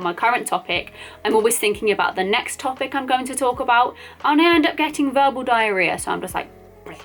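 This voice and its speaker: Lively in intonation, a woman with an English accent speaks at a fairly quick pace. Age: 20s. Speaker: flight attendant and vlogger. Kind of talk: casual vlog chat. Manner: fast.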